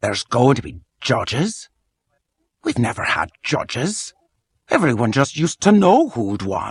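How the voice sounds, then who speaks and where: Using a put-on character voice, a man speaks fairly high at a moderate pace, with long, frequent pauses. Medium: machinima. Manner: curt, dry, unyielding.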